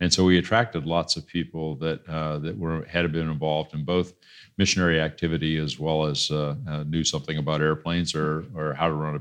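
A very deep, low-pitched man with a US Midwestern accent, at a very fast pace with hardly any pauses and fairly even intonation, over a quiet background. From Iowa, US Midwest. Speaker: entrepreneur and pastor. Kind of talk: interview. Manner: halting.

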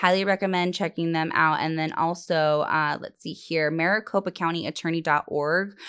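With hardly any pauses, a woman speaks at a moderate pace and a fairly low pitch in a very clean recording with a silent background. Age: 20s. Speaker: cannabis podcast host. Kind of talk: casual chat. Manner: animated.

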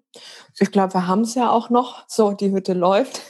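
This woman has an ordinary speaking voice, pitched in the medium range, with fairly even intonation. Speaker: coach and yoga teacher. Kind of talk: casual interview chat.

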